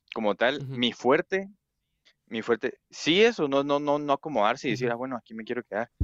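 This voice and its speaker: In a dry, close sound with no echo and a quiet background, a man with an ordinary speaking voice talks at medium pitch and a fairly quick pace. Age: 20s. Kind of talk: casual chat.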